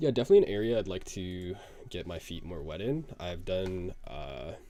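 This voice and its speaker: A man with a very deep, low pitch and dark, mellow tone speaks at a moderate pace, his intonation lively and his loudness swinging widely. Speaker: live streamer coding. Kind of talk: casual live stream chat. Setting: live stream. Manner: casual, filler-heavy.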